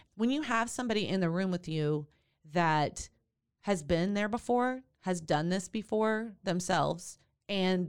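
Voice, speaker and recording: With a Texan accent, a woman talks at a moderate pace in a medium pitch, her tone animated and her pitch variation ordinary. Her loudness stays very even, and the recording is very clean with a silent background. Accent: Texan Southern US. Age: 50s. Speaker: doula and podcast host. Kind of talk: casual interview chat. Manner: animated, laughs often.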